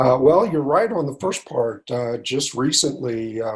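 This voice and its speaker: A man with an American accent, quiet background. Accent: American drawl. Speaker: company CEO. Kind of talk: interview. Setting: video call while traveling.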